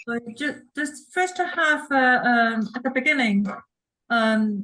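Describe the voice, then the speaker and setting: A woman uses a raised, projected voice with a bright, sharp tone and a high pitch. Her intonation is lively while her pace is very slow. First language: not English. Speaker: audience member. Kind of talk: audience question. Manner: halting.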